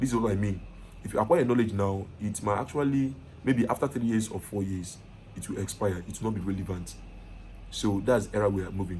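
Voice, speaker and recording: A very fast, fairly low, somewhat breathy male voice with a dark, mellow tone, ordinary pitch variation and audible room echo. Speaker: IT consultant and online course teacher. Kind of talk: lecture. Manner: casual.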